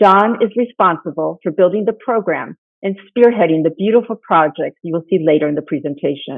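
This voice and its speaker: A woman's medium-pitched voice with ordinary pitch variation at a moderate pace. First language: Spanish. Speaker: nonprofit founder. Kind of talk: conference presentation. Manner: formal.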